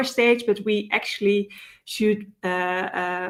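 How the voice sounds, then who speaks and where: A woman in a Dutch accent talks with a fairly high pitch and fairly even intonation. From Netherlands. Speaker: data security consultant, conference speaker. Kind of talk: conference talk. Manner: many filler words and hesitations.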